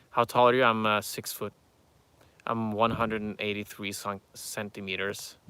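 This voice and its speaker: A man with a non-native accent and a bright, sharp tone speaks at a moderate pace and fairly low pitch in a monotone, flat intonation. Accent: noticeable foreign. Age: 30s. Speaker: YouTuber answering viewer questions. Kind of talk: live stream Q&A reading chat. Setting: outdoors near farm animals. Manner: halting, many fillers.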